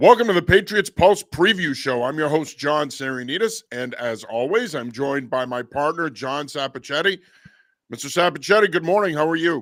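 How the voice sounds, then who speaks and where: A man's plain, everyday voice, fairly high in pitch, with lively intonation at a moderate pace on a very clean recording against a silent background. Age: 50s. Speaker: sports podcast host. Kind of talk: casual sports talk.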